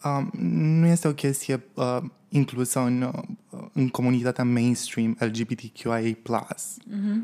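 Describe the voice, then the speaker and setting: Speaking at a very slow pace, a man has a dark, mellow tone at medium pitch. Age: 20s. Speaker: drag performer. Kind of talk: interview.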